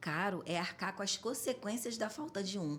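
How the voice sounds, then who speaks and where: Somewhat breathy, a woman speaks at a moderate pace. Her tone is animated. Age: 40s. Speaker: home care business owner. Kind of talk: podcast interview.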